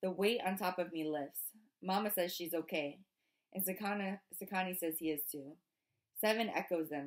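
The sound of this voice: An unforced reading voice with ordinary pitch variation plays over a quiet background.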